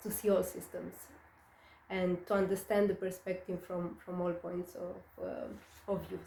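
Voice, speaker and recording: Over noticeable background noise and audible room echo, a woman with a slight non-native accent speaks at a fairly slow pace. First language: not English. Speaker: astrologer. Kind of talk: monologue on astrology. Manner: hesitant, many fillers.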